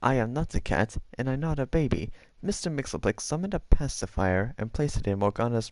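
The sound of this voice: The speaker reads in an unforced voice.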